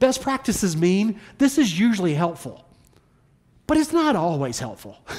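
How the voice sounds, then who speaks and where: The speaker has a Southern US accent and keeps to a moderate pace. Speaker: pastor. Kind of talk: sermon. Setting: church. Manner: informal, humorous.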